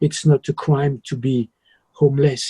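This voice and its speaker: A man with a French accent, fairly high in pitch and somewhat breathy, with a dark, mellow tone at a moderate pace, in a dry, close sound with no echo. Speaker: musician. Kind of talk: interview.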